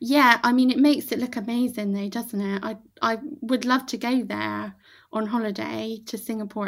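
With a West Country accent, a woman with a fairly high pitch speaks at a moderate pace on a very clean recording with a silent background. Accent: regional English, West Country. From Bath, England. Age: 30s. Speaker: podcast guest. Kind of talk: casual movie chat.

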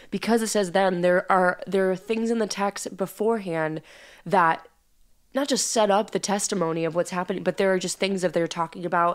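A woman speaks at a fairly quick pace in a plain, everyday voice, her pitch medium and her intonation fairly even. The recording is very clean, with a silent background. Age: 20s. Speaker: podcast co-host. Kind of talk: casual chat about Bible study.

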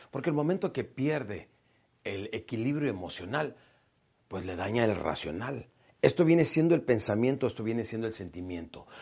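This man has a medium pitch, very wide pitch swings and an animated tone. He speaks at a moderate pace. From Mexico, Chihuahua. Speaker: motivational speaker. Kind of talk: motivational talk.

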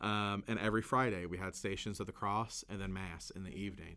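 Speaking in a Kentucky accent with a warm tone, a man moves at a fairly quick pace with fairly even intonation on a very clean recording with a silent background. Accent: Southern US, Kentucky. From Kentucky, US South. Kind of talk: podcast conversation about Lent. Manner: casual, warm, laughs often.

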